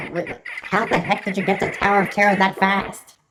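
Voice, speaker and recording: A put-on character voice at a middle pitch moves along at a fairly quick pace. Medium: voice reel. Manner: sarcastic.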